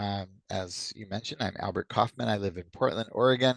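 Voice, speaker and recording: With an American accent and a plain, everyday voice, a man speaks at a moderate pace and with fairly even intonation, recorded in a dry, close sound with no echo and a quiet background. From US East Coast. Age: 60s. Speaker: community activist. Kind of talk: interview.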